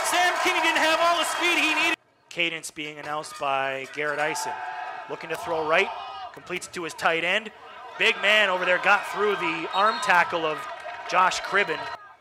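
Projecting his raised voice over noticeable background noise, a man speaks at a high pitch with very wide pitch swings. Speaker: radio play-by-play announcer. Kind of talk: live sports commentary, play-by-play. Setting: radio broadcast. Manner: rapid-fire, excitable on touchdowns; clipped, fluent play-by-play delivery.

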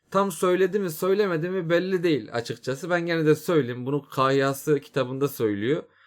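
An unremarkable speaking voice from a man, at a moderate pace with lively intonation, on a very clean recording with a silent background. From Turkey. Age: 20s. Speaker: YouTuber. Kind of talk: casual monologue. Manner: informal.

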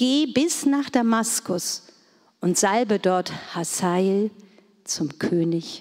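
A woman's dark, mellow tone with very wide pitch swings. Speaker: scripture reader. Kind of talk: reading aloud. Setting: church.

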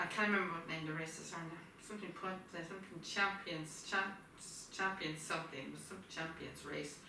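A woman speaks at a moderate pace with fairly even intonation and fairly low pitch. Her tone is bright and sharp, and the room echo is strong.

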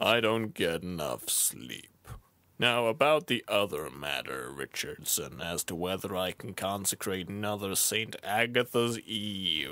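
In a fairly low pitch, a man talks at a fairly slow pace with lively intonation. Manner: odd, unusual way of speaking.

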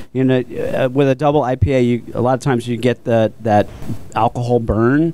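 The speaker has an American accent and a moderate pace. Faint music plays in the background, and the sound is dry with no echo. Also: man, fairly even intonation. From Florida, Port Orange; Florida. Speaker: brewery owner; radio show guest or host. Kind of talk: casual chat. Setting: studio. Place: studio. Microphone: handheld.

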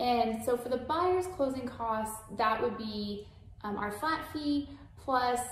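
With an American accent and lively intonation, a woman talks at a fairly high pitch, with audible room echo and light background noise. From San Antonio, Texas; Texas. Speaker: mortgage lender. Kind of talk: webinar presentation. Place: home room.

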